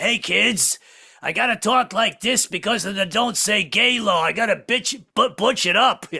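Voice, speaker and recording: Pitched high, a man performs a put-on character voice. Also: moderate pace. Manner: forced butch, comic.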